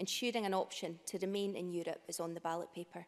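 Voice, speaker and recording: Speaking at a very fast pace, a woman talks in a Scottish accent. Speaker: member of parliament. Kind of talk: parliamentary speech. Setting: parliament chamber.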